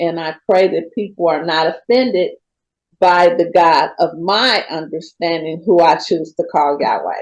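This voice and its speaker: A woman's medium-pitched voice, fairly slow in pace, with ordinary pitch variation. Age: 60s. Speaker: person in recovery sharing her story. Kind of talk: testimony. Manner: halting, many fillers.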